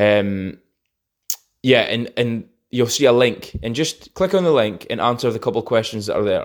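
A man with a Scottish accent, in a very clean recording with a silent background. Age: 20s. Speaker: podcast host. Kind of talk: casual monologue.

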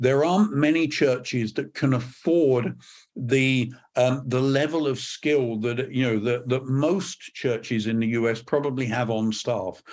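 A man with a British accent speaks at a medium pitch with ordinary pitch variation. His pace is fairly slow, against a quiet background. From Scotland, British. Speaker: church media consultant, former TV executive. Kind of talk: casual interview conversation. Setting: remote recording.

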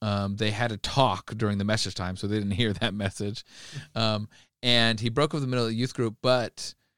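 The man has a plain, everyday voice, fairly low in pitch, with fairly even intonation. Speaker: youth pastor and podcast co-host. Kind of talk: casual chat.

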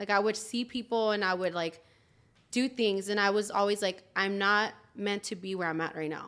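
A woman talks at a medium pitch and moderate pace with fairly even intonation. She has a plain, everyday voice. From Los Angeles, Mexican-American. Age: 20s. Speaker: insurance agency owner. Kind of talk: casual chat.

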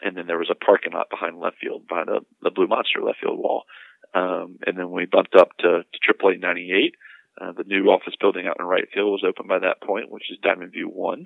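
Loudness swings widely as a man speaks. He moves at a fairly quick pace. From North Carolina. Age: 30s. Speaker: minor league baseball club executive. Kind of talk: interview. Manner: halting, many fillers and repetitions.

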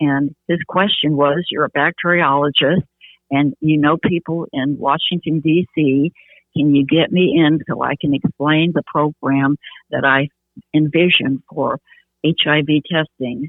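Fairly slow and flat, monotone in delivery, a woman speaks in a very deep, low pitch with a Midwestern US accent. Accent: US Midwest. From Michigan, Detroit area. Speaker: activist. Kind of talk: interview. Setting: phone call. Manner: halting.

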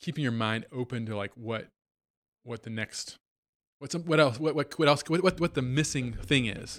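The recording is very clean with a silent background. A man with an American accent speaks at a medium pitch with ordinary pitch variation. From Virginia. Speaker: motorcycle company co-founder. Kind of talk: interview.

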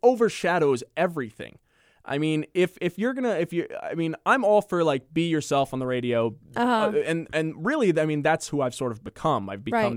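A man speaks at a moderate pace and a fairly high pitch, his voice taking very wide pitch swings. The recording is very clean with a silent background and a dry, close sound with no echo. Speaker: radio personality.

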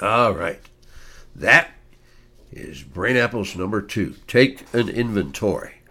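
Speaking very slowly with long, frequent pauses, a man uses a medium pitch, lively intonation and a bright, sharp tone, with big swings in loudness. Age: 70s. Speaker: podcast host, brain health educator. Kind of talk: podcast monologue, educational talk. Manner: enthusiastic, animated; informal, conversational, repeats himself.

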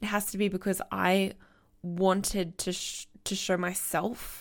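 A woman with vocal fry speaks at a medium pitch in a monotone, flat delivery. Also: very clean recording, silent background. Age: 30s. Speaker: podcast host, business coach. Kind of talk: inspirational monologue.

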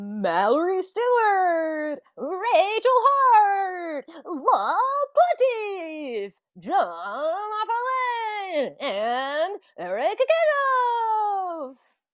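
The speaker uses a put-on character voice at an extremely high pitch. The pace is very slow. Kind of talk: formal announcer delivery.

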